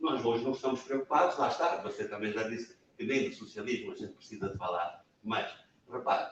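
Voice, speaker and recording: A man talking at a moderate pace. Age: 70s. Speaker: massacre survivor and panelist. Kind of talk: panel discussion at book event. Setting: public talk in a media library.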